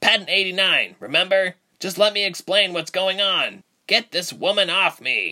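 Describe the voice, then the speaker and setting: In a put-on character voice, a man speaks high in pitch with a raised, projected voice, fairly even intonation and a moderate pace. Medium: audio drama.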